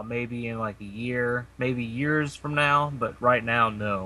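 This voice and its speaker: Speaking fairly slowly in a Kentucky accent, a man with a medium pitch uses a bright, sharp tone and fairly even intonation. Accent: Kentucky drawl. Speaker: podcast co-host. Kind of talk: casual chat.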